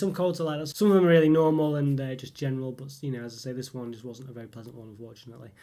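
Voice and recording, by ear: A man talks at a very fast pace with a dark, mellow tone. His pitch is medium, with ordinary pitch variation.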